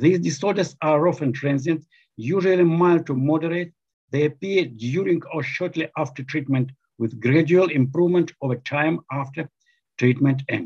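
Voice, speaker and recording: A somewhat breathy male voice with ordinary pitch variation. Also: moderate pace, quiet background. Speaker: presenter. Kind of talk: lecture. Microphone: webcam.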